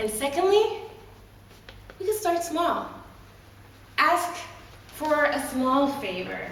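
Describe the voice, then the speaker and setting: A woman speaks with very wide pitch swings. Noticeable background noise is present. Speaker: motivational speaker, storyteller, emcee. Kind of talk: live Toastmasters speech, motivational talk.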